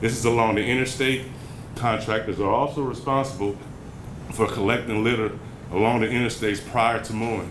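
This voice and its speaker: At a fairly quick pace, a man with a medium pitch speaks in a monotone, flat way, taking long, frequent pauses amid audible room echo and noticeable background noise. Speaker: city public works staff presenter. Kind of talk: slide presentation at community workshop. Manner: fast.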